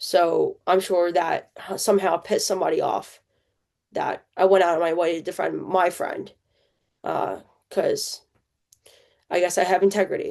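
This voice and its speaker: A woman talks at a moderate pace with a New Jersey accent. She leaves long, frequent pauses. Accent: New Jersey American. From central New Jersey, US. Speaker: podcast host. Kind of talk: personal testimony. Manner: casual, halting with fillers.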